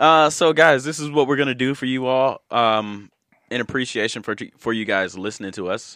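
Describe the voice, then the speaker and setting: This man's tone is bright and sharp. He talks at a moderate pace with ordinary pitch variation. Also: medium pitch for a man, very clean recording, silent background. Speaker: podcast host. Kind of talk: casual banter. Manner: animated, jokey, profane.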